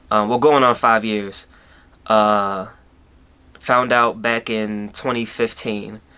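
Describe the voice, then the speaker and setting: Bright and sharp in tone, a man's fairly low-pitched voice holds a monotone, flat intonation. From Baltimore, Maryland. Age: 20s. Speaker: YouTuber. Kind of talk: personal storytelling vlog. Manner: casual, with many fillers.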